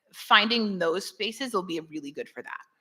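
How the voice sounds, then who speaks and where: A bright, sharp tone on a very clean recording with a silent background. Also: woman. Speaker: conference speaker, web developer. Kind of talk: Q&A after a talk. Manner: fast.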